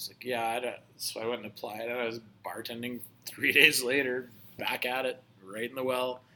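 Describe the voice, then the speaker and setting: Talking at a fairly quick pace in a monotone, flat intonation, a man shows big swings in loudness against noticeable background noise. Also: medium pitch for a man. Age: 40s. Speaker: bartender and teacher. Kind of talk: casual chat.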